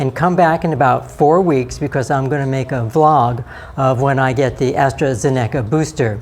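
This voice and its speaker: The pace is moderate, and noticeable background noise sits under the speech. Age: 60s. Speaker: vlogger. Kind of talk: personal vlog update.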